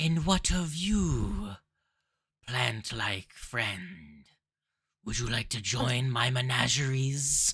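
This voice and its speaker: In a raspy put-on character voice at medium pitch, a man speaks very slowly with lively intonation and long, frequent pauses. The recording is very clean, with a silent background. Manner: spooky, mysterious.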